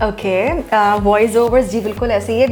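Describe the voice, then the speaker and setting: A woman speaks in a fairly high pitch while music plays in the background. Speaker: voice-over artist; radio host. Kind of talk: interview answer.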